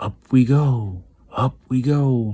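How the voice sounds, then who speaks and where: A man's put-on character voice at a medium pitch. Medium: read story. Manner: brisk, excitable.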